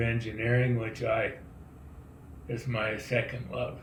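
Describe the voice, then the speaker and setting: A somewhat breathy man at a very slow pace, with audible room echo. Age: 80s+. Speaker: donor. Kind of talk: recorded video message.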